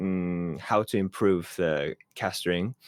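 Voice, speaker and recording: A very slow voice with a Japanese accent, on a very clean recording with a silent background. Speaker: esports commentator. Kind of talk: interview answer.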